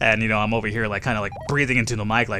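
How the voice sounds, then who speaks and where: A man speaks at medium pitch. His tone is bright and sharp. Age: 20s. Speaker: gaming YouTuber. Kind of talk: let's play commentary with Q&A. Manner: casual, many fillers.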